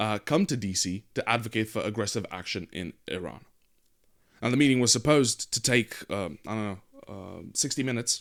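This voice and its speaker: A man's fairly low voice, fairly quick in pace, with ordinary pitch variation. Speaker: political commentary show host. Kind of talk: news commentary monologue. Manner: hesitant with filler words.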